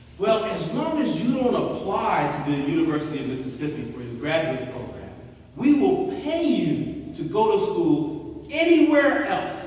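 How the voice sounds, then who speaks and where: High-pitched man with an American accent, very wide pitch swings, a moderate pace, audible room echo and noticeable background noise. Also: big swings in loudness. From US South, Birmingham, Alabama. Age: 50s. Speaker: professor. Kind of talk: lecture.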